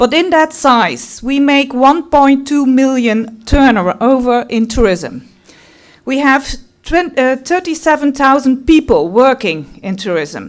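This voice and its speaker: A woman with a Limburg accent talks at a very slow pace. Her high pitch carries lively intonation. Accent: Dutch (Limburg) accent in English. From Netherlands, Limburg. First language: Dutch. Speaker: tourism representative. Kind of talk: conference talk.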